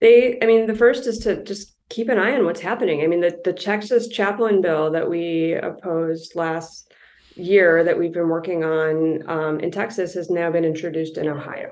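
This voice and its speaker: At a moderate pace, a woman with an ordinary speaking voice talks in a fairly low pitch with ordinary pitch variation. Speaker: policy advocate and lawyer. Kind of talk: interview conversation.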